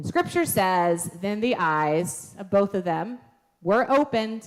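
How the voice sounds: Someone reads with lively intonation in a natural reading voice.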